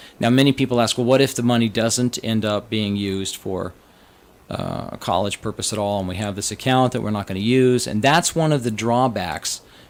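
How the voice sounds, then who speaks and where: Using a plain, everyday voice, a man with an American accent speaks at a medium pitch with ordinary pitch variation. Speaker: financial advisor. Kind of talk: podcast explainer. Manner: casual.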